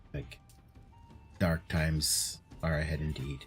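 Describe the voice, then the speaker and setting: Over clear background music, a man puts on a character voice, very deep and low, speaking at a fairly slow pace. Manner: ominous.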